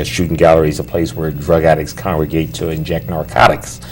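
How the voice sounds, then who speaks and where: Against noticeable background noise, a man with an American accent talks in a very deep, low pitch. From US Northeast, New Jersey. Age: 60s. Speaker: pastor. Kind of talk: testimony. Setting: studio.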